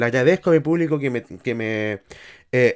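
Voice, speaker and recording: A man with a Chilean accent at a fairly slow pace, ordinary pitch variation, dry and close with no echo, on a very clean recording with a silent background. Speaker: podcaster. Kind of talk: casual monologue. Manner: animated.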